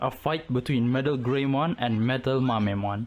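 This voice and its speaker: With ordinary pitch variation, someone speaks in a non-native accent. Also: man. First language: not English. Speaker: gaming YouTuber. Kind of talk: game commentary narration. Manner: casual, jokey. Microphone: poor audio quality.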